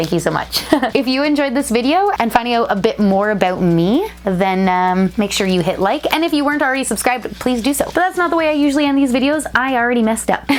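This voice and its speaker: Over noticeable background noise, a woman talks very fast in a high voice with very wide pitch swings and an animated tone. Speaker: toy channel YouTuber. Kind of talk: casual vlog. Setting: home studio.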